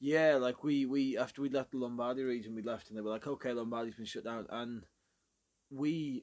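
A man with a Belfast accent, medium in pitch, fairly quick and fairly even in intonation, against a quiet background. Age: 20s. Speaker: podcast co-host. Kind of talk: casual chat.

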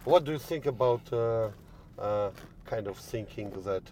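In a Polish accent, the speaker goes at a very slow pace with ordinary pitch variation. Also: man. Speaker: podcast host. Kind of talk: interview. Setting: in a car. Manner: halting.

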